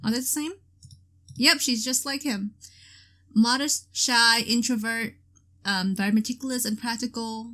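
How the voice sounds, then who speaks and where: With a bright, sharp tone and fairly high pitch, a woman speaks loudly at a moderate pace with ordinary pitch variation and long, frequent pauses. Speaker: gaming video creator. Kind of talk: let's play commentary. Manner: hesitant, many fillers.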